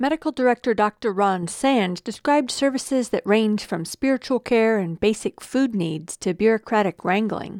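A woman with a normal speaking voice and a fairly high pitch talks at a moderate pace with lively intonation, hardly any pauses, and a dry, close sound with no echo. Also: very clean recording, silent background. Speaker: radio news reporter. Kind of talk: news reading.

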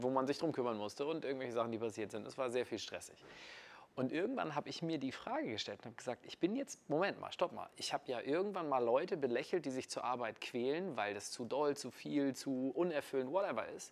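Speaking in a normal speaking voice, a man keeps a medium pitch with ordinary pitch variation. He moves at a fairly quick pace. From northern Germany, Kiel. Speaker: network marketer. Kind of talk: casual interview. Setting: in person in Munich.

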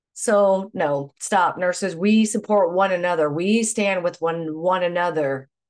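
A woman with a plain, everyday voice speaks at a fairly slow pace, pitched fairly low, with ordinary pitch variation. She hardly pauses, and the background is quiet. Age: 50s. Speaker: nurse. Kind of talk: interview.

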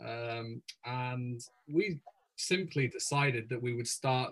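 A man speaks with an English accent at a medium pitch, his voice somewhat breathy. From England. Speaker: pastor. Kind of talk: interview.

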